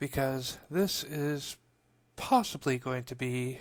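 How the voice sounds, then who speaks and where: Speaking very slowly, a quiet man uses a medium pitch with ordinary pitch variation. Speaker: gaming video creator. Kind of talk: game walkthrough commentary. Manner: hesitant.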